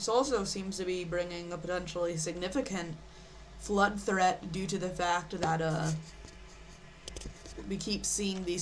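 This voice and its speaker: Soft-spoken and fairly low in pitch, a woman speaks at a fairly slow pace amid noticeable background noise and audible room echo. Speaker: live weather streamer. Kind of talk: live weather commentary. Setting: live stream. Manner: halting. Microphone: too quiet.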